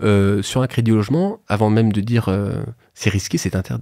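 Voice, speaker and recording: With a dark, mellow tone, a man speaks at a moderate pace in a fairly low pitch, using ordinary pitch variation. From France, Haute-Savoie. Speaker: financing consultant. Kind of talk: podcast interview, explaining. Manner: hesitant, many fillers.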